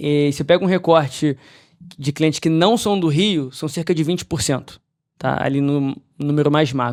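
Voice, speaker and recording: In a Rio de Janeiro accent, a man speaks at a fairly high pitch with ordinary pitch variation. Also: moderate pace, very clean recording, silent background. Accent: carioca. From Brazil, Rio de Janeiro. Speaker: investment advisory firm partner. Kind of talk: podcast interview.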